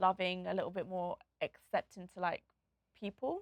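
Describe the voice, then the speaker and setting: A woman speaks in a London accent with a dry, close sound and no echo. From England, Nottingham and London. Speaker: DJ and content creator. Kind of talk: interview. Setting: studio. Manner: talkative, bubbly.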